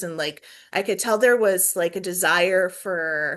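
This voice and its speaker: A woman talks in a plain, everyday voice. Her pace is moderate and her pitch variation ordinary. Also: quiet background. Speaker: planetarium staff presenter. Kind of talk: webinar presentation and Q&A. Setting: video call.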